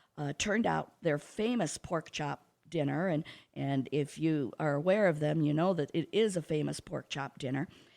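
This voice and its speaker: In a Midwestern American accent, a woman with a very deep, low pitch and vocal fry speaks at a moderate pace with ordinary pitch variation, on a very clean recording with a silent background. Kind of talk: radio interview. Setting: radio studio. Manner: talkative.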